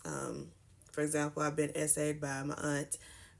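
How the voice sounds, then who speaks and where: A woman speaks with vocal fry in a very deep, low pitch. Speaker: makeup vlogger sharing personal story. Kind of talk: storytime vlog. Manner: fast.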